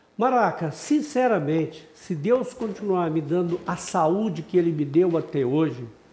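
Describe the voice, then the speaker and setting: Against noticeable background noise, a man talks at a fairly slow pace with hardly any pauses, a high pitch and lively intonation. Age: 60s. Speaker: businessman and football commentator. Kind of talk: interview.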